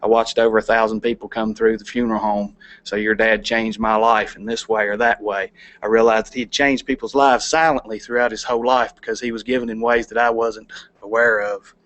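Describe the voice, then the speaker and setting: A man's medium-pitched voice in a Kentucky accent, very fast, with monotone, flat intonation. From Kentucky, LaRue County. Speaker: plant operations manager, charity volunteer. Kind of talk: presentation to city council. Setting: council meeting.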